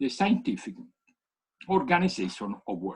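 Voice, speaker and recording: This man's voice carries vocal fry. His pitch swings very widely. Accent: Italian. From Italy. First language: Italian. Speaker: economics professor. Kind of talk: keynote lecture. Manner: halting.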